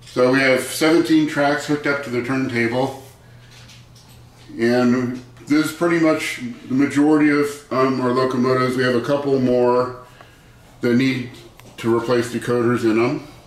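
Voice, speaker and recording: A man at a moderate pace with monotone, flat intonation, very even loudness, long, frequent pauses and audible room echo. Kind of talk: casual vlog chat. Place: home room. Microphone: camera far.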